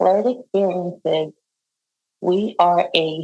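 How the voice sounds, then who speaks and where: Her pitch sits fairly low for a woman. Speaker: public speaker and nurse. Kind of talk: presentation talk. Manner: hesitant with fillers.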